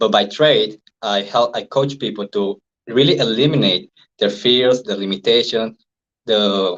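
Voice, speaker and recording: Speaking in a Venezuelan accent, a man talks at a medium pitch. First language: Spanish. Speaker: NLP and hypnosis trainer, life coach. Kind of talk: interview. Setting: live stream.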